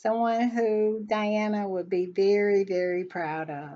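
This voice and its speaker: A woman's fairly high voice with an American accent, at a very slow pace, over a quiet background. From US South. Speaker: royal commentary YouTuber. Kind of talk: casual commentary vlog. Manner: conversational, halting with self-corrections.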